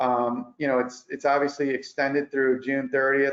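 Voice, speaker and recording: At a fairly quick pace, a man talks with monotone, flat intonation at medium pitch. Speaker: accountant presenting tax update. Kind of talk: webinar presentation. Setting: online webinar. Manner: fast.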